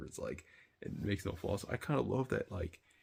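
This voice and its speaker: Whispering at a fairly quick pace, a man sounds somewhat breathy. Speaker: anime reaction youtuber. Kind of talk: casual review monologue. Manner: whispering, quiet; hesitant, filler-heavy.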